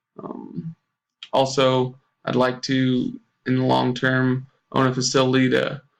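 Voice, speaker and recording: At a fairly slow pace, a man with an American accent speaks at medium pitch. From US Midwest (southwest Kansas). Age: 20s. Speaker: teacher. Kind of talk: self-introduction for a course. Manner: hesitant, many fillers.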